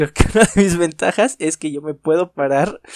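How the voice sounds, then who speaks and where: An ordinary speaking voice from a man, fairly high in pitch with ordinary pitch variation, captured with a dry, close sound and no echo. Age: 20s. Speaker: podcast co-host. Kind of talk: casual chat.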